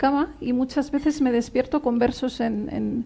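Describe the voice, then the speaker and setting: A woman with a Catalan accent speaks in a high pitch with a dark, mellow tone. Her pace is fairly slow and her intonation fairly even. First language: Catalan (speaking Spanish). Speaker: poet. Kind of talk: interview at book presentation. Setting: bookshop event with audience.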